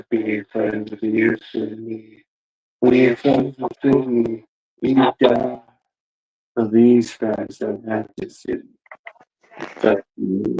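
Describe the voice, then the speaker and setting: A man performs a put-on character voice at medium pitch. He goes very slowly, with long, frequent pauses. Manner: menacing, creepy.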